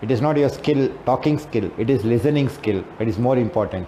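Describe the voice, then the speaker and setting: A man with an Indian accent talks at a moderate pace and medium pitch, with ordinary pitch variation and audible room echo. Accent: Indian English (Telugu). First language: Telugu. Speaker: English teacher and trainer. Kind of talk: lecture. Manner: halting.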